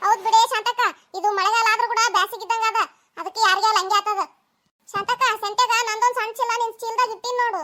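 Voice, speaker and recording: A woman speaks in a cartoonish character voice at an extremely high pitch. Her intonation stays flat and monotone. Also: fairly quick pace. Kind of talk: cartoon comedy acting.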